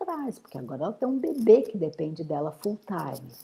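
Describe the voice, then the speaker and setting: Noticeable background noise sits under a woman's medium-pitched voice, which makes very wide pitch swings. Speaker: menopause therapist. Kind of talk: interview.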